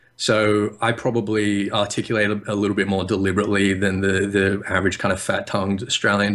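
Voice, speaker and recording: A man's fairly low, monotone, flat voice at a very fast pace. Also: hardly any pauses. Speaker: interview guest.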